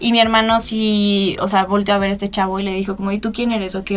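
In a Mexican accent, a woman of medium pitch rushes at a very fast pace with hardly any pauses and a monotone, flat intonation. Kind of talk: casual interview. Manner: casual, filler-heavy.

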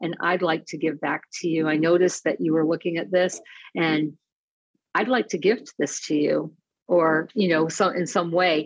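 A woman's normal speaking voice in an American accent, fairly low in pitch, with ordinary pitch variation and a moderate pace. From Detroit area. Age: 50s. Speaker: personality assessment coach. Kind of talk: casual chat.

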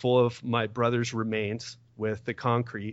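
A man talks in an ordinary speaking voice at medium pitch. His pace is fairly slow. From US, Miami. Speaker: personal trainer and podcast host. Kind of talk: testimony.

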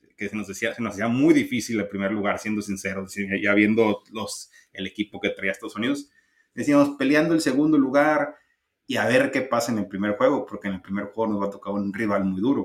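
A man speaks at a fairly quick pace and a medium pitch. He has an unremarkable speaking voice with ordinary pitch variation. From Mexico. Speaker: baseball podcast co-host. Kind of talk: casual chat.

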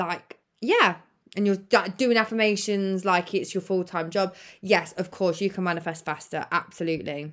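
The recording is very clean, with a silent background. A woman with a British accent talks at a moderate pace and medium pitch, her intonation fairly even. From United Kingdom. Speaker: podcast host and manifestation coach. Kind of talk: solo podcast monologue, casual and conversational. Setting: recording from her bed. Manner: casual, chatty, uses swearing.

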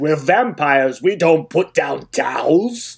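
A put-on character voice at a middle pitch. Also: fairly slow pace.

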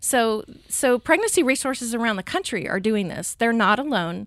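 A woman's ordinary speaking voice, fairly high in pitch, with lively intonation at a moderate pace on a very clean recording with a silent background. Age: 40s. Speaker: pregnancy center coordinator. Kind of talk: interview.

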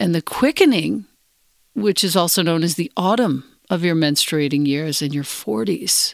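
A woman with an ordinary speaking voice talks at a fairly low pitch and a moderate pace, her intonation lively. The recording is very clean with a silent background and a dry, close sound with no echo. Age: 50s. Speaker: podcast host. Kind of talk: interview.

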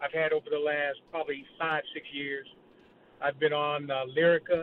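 A man with an American accent speaks at a moderate pace. He has a plain, everyday voice. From Ohio. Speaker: caller. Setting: phone call.

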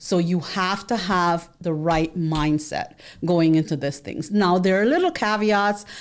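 A woman's normal speaking voice at a medium pitch, fairly slow, with ordinary pitch variation, on a very clean recording with a silent background. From New York City, the Bronx. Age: 40s. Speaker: accountant and financial literacy educator. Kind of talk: monologue to camera. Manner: rambling with fillers and repetitions.

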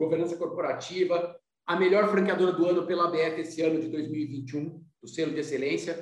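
This is a man with a high pitch. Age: 50s. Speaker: business consultant and company founder. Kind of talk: podcast interview.

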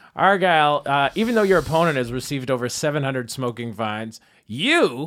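A man's plain, everyday voice, fairly high in pitch, with ordinary pitch variation and a fairly quick pace. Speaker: debate moderator. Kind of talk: comedic debate moderating. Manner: sarcastic, jokey.

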